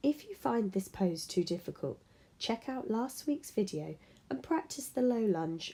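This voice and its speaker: A woman's somewhat breathy voice swings very widely in pitch at a moderate pace. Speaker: dressage and fitness coach. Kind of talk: fitness tutorial narration.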